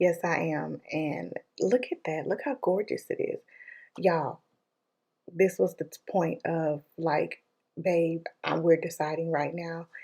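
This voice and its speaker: A woman talks quietly at a very slow pace. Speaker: vlogger. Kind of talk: vlog voiceover. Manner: casual, many fillers.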